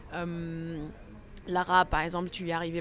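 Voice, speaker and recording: Fairly low in pitch, a woman's voice moves at a fairly slow pace. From Morocco. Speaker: podcast host, interviewer. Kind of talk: interview conversation. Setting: café terrace.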